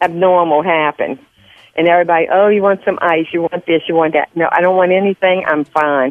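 A woman at a medium pitch speaks in a Southern US accent. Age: old. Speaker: host's mother. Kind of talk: casual chat. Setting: phone call.

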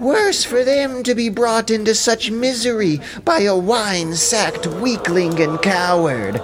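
A shrill, high-pitched man at a fairly slow pace, with hardly any pauses and very even loudness, over loud background noise. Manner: railing, insolent.

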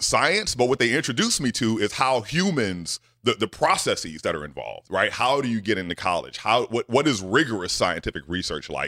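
Speaking in a Southern US accent, a man at medium pitch talks fairly quickly with hardly any pauses, very wide pitch swings, an animated, bright, sharp tone and vocal fry, in a dry, close sound with no echo on a very clean recording with a silent background. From US South. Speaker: scientist. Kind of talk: casual interview.

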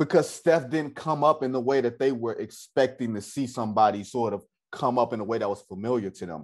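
In a normal speaking voice, a man with an American accent talks at a fairly quick pace at medium pitch with ordinary pitch variation against a quiet background. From US Midwest, Detroit. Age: 30s. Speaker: sports journalist. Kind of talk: casual interview chat.

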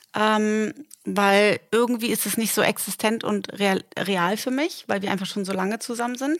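This is a normal speaking voice at a moderate pace with ordinary pitch variation. The recording is very clean, with a silent background. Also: woman, fairly high pitch for a woman. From northern Germany, Delmenhorst. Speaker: podcast co-host. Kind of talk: casual chat. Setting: in bed at home.

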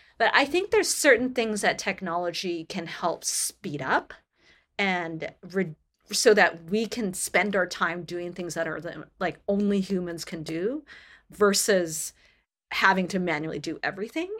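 A woman with an unremarkable speaking voice, medium pitch and ordinary pitch variation, at a fairly slow pace, in a very clean recording with a silent background. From Canada. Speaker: tech company sustainability leader. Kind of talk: interview.

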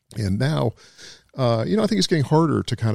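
A man with an American accent speaks with vocal fry and ordinary pitch variation. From US South. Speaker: crime novelist. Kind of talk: casual chat.

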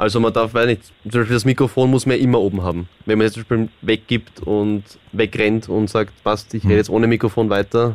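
A man's fairly low, monotone voice with flat intonation, at a fairly quick pace, in an Austrian accent. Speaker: reality TV contestant. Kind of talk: casual chat. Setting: studio.

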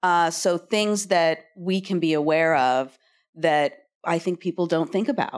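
A woman's normal speaking voice, a normal speaking voice at a fairly slow pace, with very even loudness and ordinary pitch variation. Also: fairly low pitch for a woman. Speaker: TV showrunner panelist. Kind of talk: panel discussion. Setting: stage with audience.

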